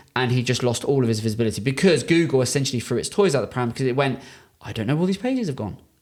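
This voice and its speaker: Here a man talks at a medium pitch with a British accent. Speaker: podcast host, marketing agency owner. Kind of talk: business consultation podcast. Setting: in person studio. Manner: fast.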